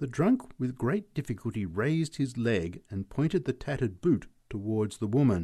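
It's plain reading aloud delivered with lively intonation.

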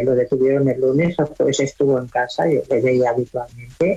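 A woman speaks with an extremely low pitch, a slightly husky edge and a slightly mellow tone.

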